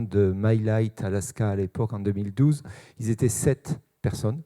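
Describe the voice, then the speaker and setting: A man with a Toulouse accent speaks at a moderate pace in a medium pitch. His tone is dark and mellow, the intonation fairly even, and the sound dry and close with no echo. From Toulouse, southern France. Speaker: sales manager. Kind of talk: conference talk. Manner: hesitant, many fillers.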